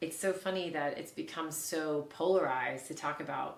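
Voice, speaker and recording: Over noticeable background noise, a woman with an American accent and a very deep, low pitch talks at a moderate pace with fairly even intonation. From Oklahoma. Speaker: bioenergetic health practitioner. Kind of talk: interview answer.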